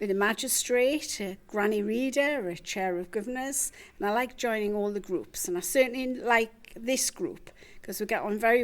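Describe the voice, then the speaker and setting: A woman speaks in a Geordie accent at a moderate pace. Her fairly high pitch shows ordinary variation, and the recording is very clean with a silent background. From West Denton, Newcastle, northeast England. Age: 70s. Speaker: retiree and volunteer. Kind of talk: personal introduction.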